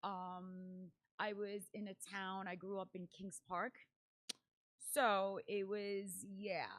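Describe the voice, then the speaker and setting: A woman with a Spanish accent speaks very slowly in a medium pitch, her intonation flat and monotone, with long, frequent pauses. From Paraguay. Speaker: event MC, dancer and entrepreneur. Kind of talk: podcast interview.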